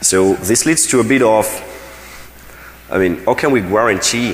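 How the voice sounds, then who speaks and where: Audible room echo and noticeable background noise accompany speech delivered at a moderate speed. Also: man. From France. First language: French. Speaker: security researcher. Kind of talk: conference talk. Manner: hesitant, many fillers.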